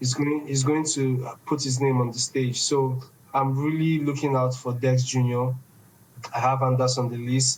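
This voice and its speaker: In a Nigerian accent, a man speaks at a moderate pace and medium pitch, his intonation monotone and flat and his loudness very even. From Nigeria, Igbo east. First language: Igbo. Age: 20s. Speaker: esports organization founder. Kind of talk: podcast interview.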